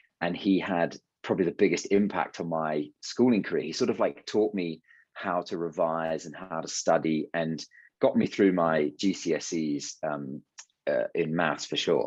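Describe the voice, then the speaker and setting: Speaking with a British accent, a man has a very deep, low pitch. He keeps a moderate pace and ordinary pitch variation. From England. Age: 20s. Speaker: ski instructor. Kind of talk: interview. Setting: podcast. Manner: halting, many fillers.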